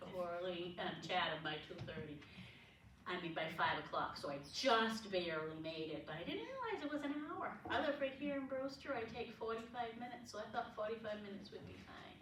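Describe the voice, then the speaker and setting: Here a woman at medium pitch talks at a moderate pace with very wide pitch swings. Noticeable background noise and audible room echo surround her voice. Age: 70s. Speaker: historian and lecturer. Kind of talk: public lecture. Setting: lecture room with audience. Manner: conversational, asks audience questions.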